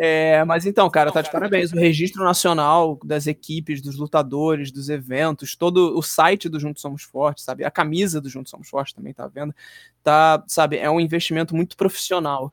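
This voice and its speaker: An unremarkable speaking voice from a man, fairly high in pitch, at a moderate pace, with fairly even intonation and big swings in loudness. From Minas Gerais, Brazil (Belo Horizonte). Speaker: pro wrestler. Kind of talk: casual chat.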